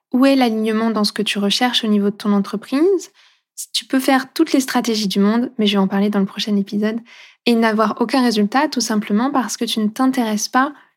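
A woman with a fairly high pitch and ordinary pitch variation speaks in a plain, everyday voice on a very clean recording with a silent background. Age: 30s. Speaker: holistic coach and podcast host. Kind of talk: casual monologue. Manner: warm, gentle.

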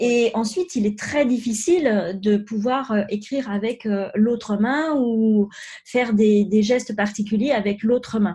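Somewhat breathy and dark, mellow in tone, this voice moves at a fairly slow pace with ordinary pitch variation over a quiet background. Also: woman, fairly high pitch for a woman. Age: 50s. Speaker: life coach, former pharmacist. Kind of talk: interview. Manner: halting, many fillers.

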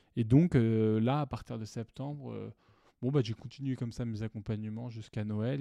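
A dark, mellow tone comes at a moderate pace with fairly even intonation, dry and close with no echo, on a very clean recording with a silent background. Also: man. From France, Lyon. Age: 20s. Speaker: podcaster. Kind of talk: personal storytelling monologue. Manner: hesitant, many fillers.

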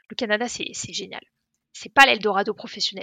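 A woman's bright, sharp tone, dry and close with no echo, over a quiet background. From Paris, France. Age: 20s. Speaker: travel YouTuber. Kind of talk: casual interview chat.

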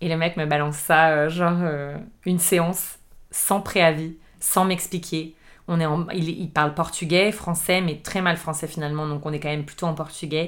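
This woman speaks in a monotone with flat intonation. Her voice is fairly low, and her pace is moderate. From Paris suburbs, France. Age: 30s. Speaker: chef and entrepreneur. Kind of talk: casual interview.

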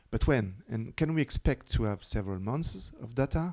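A man with a French accent speaks at medium pitch and a moderate pace. His tone is dark and mellow, with ordinary pitch variation. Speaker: podcast host. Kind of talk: interview. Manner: reading prepared questions.

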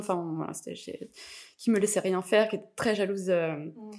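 A woman speaks at a moderate pace with a medium pitch, fairly even intonation and some vocal fry. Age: 30s. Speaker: podcast guest, mother. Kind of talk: casual interview chat.

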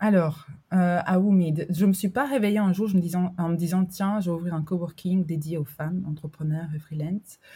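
A woman talks at a moderate pace in a dark, mellow, somewhat breathy voice with fairly low pitch and fairly even intonation. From Albania. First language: Albanian (speaking French). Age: 30s. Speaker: entrepreneur, coworking founder. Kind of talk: interview conversation. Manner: hesitant, many fillers.

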